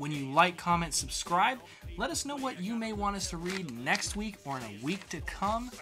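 With a bright, sharp tone, a man speaks at a moderate pace in a fairly high pitch and lively intonation.

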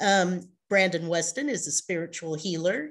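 A woman talks in an ordinary speaking voice, fairly low in pitch with ordinary pitch variation. Her pace is moderate against a quiet background. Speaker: show host. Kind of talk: reading guest introduction on a live show. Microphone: video call.

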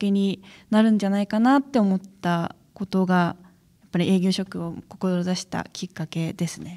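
A woman speaks at a medium pitch with a dark, mellow tone and fairly even intonation, on a very clean recording with a silent background. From Akita, Misato. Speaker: new sales employee. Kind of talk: interview.

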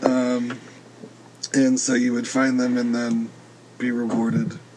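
Over noticeable background noise, a man speaks at a medium pitch and a very slow pace. His intonation stays fairly even. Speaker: podcast co-host. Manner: brief, to the point.

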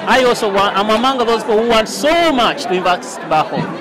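A man's extremely high-pitched voice with lively intonation, over noticeable background noise. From Uganda. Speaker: solar traffic light manufacturer. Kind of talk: interview. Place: hall. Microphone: lapel.

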